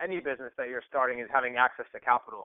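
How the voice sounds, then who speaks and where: A man's plain, everyday voice, medium in pitch, with an American accent and fairly even intonation. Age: 20s. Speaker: entrepreneur. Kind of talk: interview. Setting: phone call.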